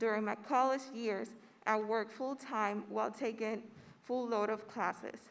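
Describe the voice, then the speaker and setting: A woman with a Spanish accent, fairly high pitch and monotone, flat intonation. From Puerto Rico. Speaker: graduating student speaker. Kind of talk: commencement speech. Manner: formal.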